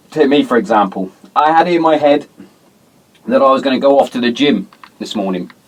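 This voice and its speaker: Fairly quick speech from a man with a British accent and a medium pitch. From England. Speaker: podcast host. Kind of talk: casual chat. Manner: fast.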